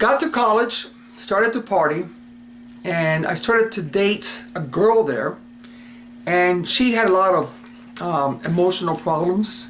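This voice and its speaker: A man's high-pitched voice with very wide pitch swings, at a fairly slow pace, over noticeable background noise. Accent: American. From Cuba and US Virgin Islands. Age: 60s. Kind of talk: personal testimony. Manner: casual, hesitant with fillers.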